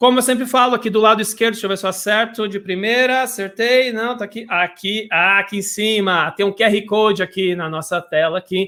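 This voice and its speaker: A man speaks in a raised, projected voice, high-pitched with a bright, sharp tone. He moves at a fairly quick pace with hardly any pauses. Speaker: web radio host. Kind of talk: live radio show. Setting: home studio, live broadcast. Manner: animated.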